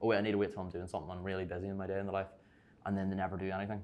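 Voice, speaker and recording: A man with a Belfast accent talks at a very fast pace in a fairly low pitch. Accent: Belfast Northern Irish. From Northern Ireland, Belfast. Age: young. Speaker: content creator and online fitness coach. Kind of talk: casual chat. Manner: animated.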